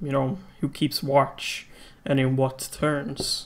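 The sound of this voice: A man speaks at a medium pitch and a slow pace. His pitch moves little.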